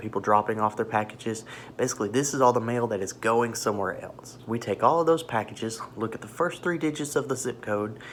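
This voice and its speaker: Quiet and fairly quick, a man talks at a medium pitch with ordinary pitch variation. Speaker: vlogger and postal worker. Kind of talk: casual video diary. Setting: in a parked car. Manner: quiet, hushed.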